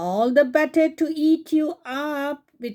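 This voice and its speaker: A woman growls in a put-on character voice, pitched high. She talks at a fairly slow pace. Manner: growling, menacing.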